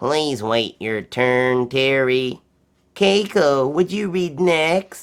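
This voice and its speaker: In a put-on character voice, the speaker goes at a very slow pace with a low-to-middle pitch. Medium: read story. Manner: warm, measured.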